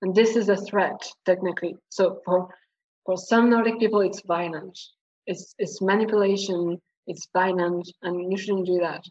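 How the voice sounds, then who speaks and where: This voice carries a French accent and a monotone, flat intonation. It moves at a moderate pace. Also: woman, medium pitch for a woman. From France. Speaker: historian. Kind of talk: casual chat.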